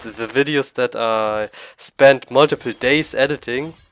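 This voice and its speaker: A man with a strong German accent, music in the background. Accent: thick German. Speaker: gaming YouTuber. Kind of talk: casual monologue to camera. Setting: at home computer. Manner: halting.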